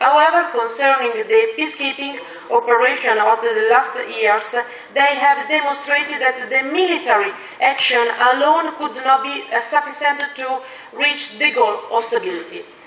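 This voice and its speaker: Noticeable background noise and audible room echo surround a woman speaking at a moderate pace. Her voice is high, with lively intonation. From Italy. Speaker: politician. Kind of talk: conference speech. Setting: conference panel. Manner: formal; halting.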